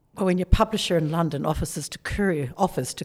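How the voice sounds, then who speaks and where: Her pace is fairly quick. The woman has a New Zealand accent. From New Zealand, small town. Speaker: author. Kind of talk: interview.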